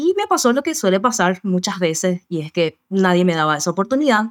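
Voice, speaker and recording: Very clean, with a silent background, this recording has a woman speaking at a medium pitch and fairly quick pace. She has an unremarkable speaking voice. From Paraguay. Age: 40s. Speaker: work psychologist. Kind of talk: interview.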